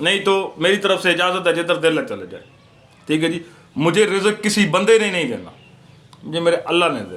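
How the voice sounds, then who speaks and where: A man speaks with a high pitch. He leaves long, frequent pauses. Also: ordinary pitch variation, moderate pace. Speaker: YouTuber, IPTV/OTT service seller. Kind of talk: casual vlog monologue. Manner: sounds like arguing, forceful tone.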